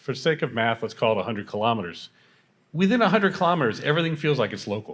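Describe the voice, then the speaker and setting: On a very clean recording with a silent background, a man with a fairly high pitch and vocal fry swings his pitch very widely. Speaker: tech company architect. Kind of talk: panel discussion.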